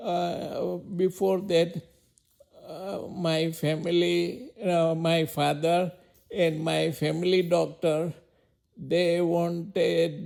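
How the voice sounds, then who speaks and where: A man with a high-pitched voice speaks in a Gujarati accent. His delivery is very slow and monotone, with flat intonation. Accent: Indian (Gujarati). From India, Mumbai. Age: 80s+. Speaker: elderly interviewee. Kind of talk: life story interview. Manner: halting, many hesitations.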